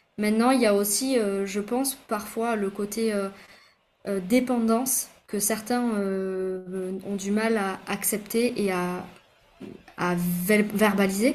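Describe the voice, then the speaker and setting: Speaking very slowly, a woman keeps a mid-range pitch and a fairly level intonation. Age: 30s. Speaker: pharmacist and micronutritionist. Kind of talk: interview. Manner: hesitant with fillers.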